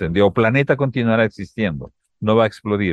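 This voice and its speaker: A man speaks with a Peruvian accent at a moderate pace. His pitch is fairly low and varies in an ordinary way. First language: Spanish (speaking Portuguese). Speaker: climate scientist. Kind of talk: interview.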